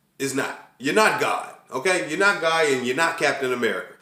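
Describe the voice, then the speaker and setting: With audible room echo, a man speaks fairly quickly in a bright, sharp, animated tone. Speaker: vlogger. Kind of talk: casual vlog monologue. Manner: stuttering.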